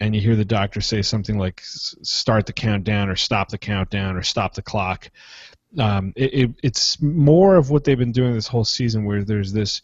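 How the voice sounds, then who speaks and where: In a Philadelphia accent, a man speaks at a moderate pace and fairly low pitch, somewhat breathy, with ordinary pitch variation. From Philadelphia, US. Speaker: podcast co-host. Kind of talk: casual chat.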